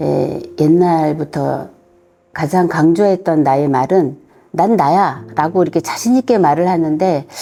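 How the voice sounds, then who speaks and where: A fairly low-pitched woman speaking very slowly at a very even loudness. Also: ordinary pitch variation. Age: 60s. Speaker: community member. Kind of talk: interview answer.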